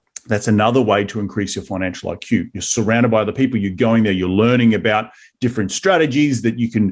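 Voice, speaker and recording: Over a quiet background, a man with an Australian accent speaks at a medium pitch. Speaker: real estate investor, podcast host. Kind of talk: interview conversation.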